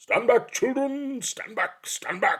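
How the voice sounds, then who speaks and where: A man's shouted, put-on character voice, extremely high in pitch, at a fairly slow pace. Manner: loud, commanding shout.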